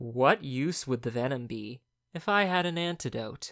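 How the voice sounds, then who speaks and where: Put-on character voice from a man, medium in pitch, with lively intonation at a moderate pace. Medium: read story. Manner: weary.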